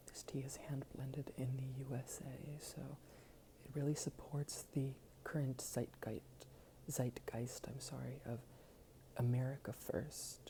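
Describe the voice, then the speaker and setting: At a fairly slow pace and a medium pitch, a man speaks in a dark, mellow tone that is somewhat breathy, his intonation monotone and flat, with long, frequent pauses. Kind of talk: ASMR video.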